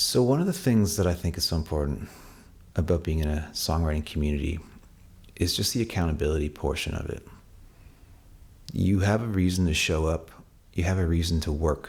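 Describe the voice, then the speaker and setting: A man with a Canadian accent, very deep and low in pitch, somewhat breathy, at a fairly quick pace with ordinary pitch variation and long, frequent pauses. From Canada. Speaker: songwriter. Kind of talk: casual talk to camera. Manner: casual, with fillers and restarts.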